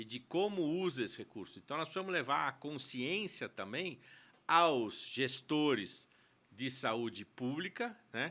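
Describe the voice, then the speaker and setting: With a bright, sharp tone and very wide pitch swings, a man speaks fairly slowly at a fairly high pitch on a very clean recording with a silent background. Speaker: co-founder of a business institute. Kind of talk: podcast interview.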